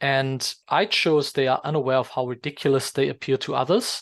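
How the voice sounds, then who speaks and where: With a non-native accent, a man speaks at a moderate pace and a fairly high pitch, his voice dry and close with no echo over a quiet background. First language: not English. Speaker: English exam teacher. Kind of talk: tutorial. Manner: hesitant, many fillers.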